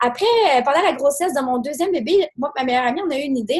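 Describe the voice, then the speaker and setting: With a Quebec accent, a woman speaks at a fairly quick pace with ordinary pitch variation. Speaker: business owner. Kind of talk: presentation. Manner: fast.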